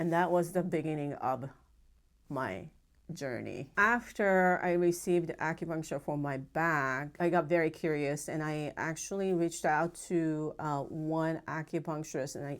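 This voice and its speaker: In a Japanese accent, a woman with a very deep, low pitch speaks at a fairly slow pace with ordinary pitch variation, on a very clean recording with a silent background. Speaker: acupuncturist. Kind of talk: interview testimony. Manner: halting.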